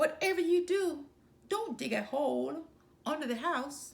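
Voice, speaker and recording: A woman speaks at a moderate pace in a high-pitched, put-on character voice. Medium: read story. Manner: cheeky, teasing.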